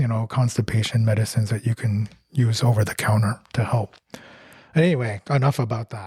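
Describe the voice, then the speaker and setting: A man at a fairly quick pace, medium in pitch, somewhat breathy with a dark, mellow tone and fairly even intonation, in a dry, close sound with no echo. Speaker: podcast co-host. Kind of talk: casual chat.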